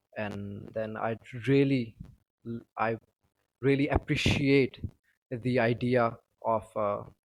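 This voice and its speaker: Pausing long and often, a man speaks very slowly at a medium pitch in a monotone, flat delivery. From Pakistan. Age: 20s. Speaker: university student. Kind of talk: personal testimony monologue. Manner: hesitant, many fillers.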